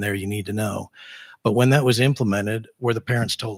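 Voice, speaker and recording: On a very clean recording with a silent background, a man talks at a very fast pace in a flat monotone at a fairly low pitch. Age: 60s. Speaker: school board candidate. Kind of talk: candidate forum answer.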